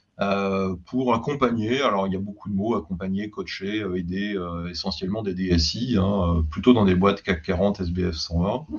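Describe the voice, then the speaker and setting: A man with a normal speaking voice and a fairly low pitch talks at a moderate pace with hardly any pauses and ordinary pitch variation. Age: 60s. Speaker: IT executive, former CIO and advisor. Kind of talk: interview podcast, casual conversational. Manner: relaxed, frequent fillers.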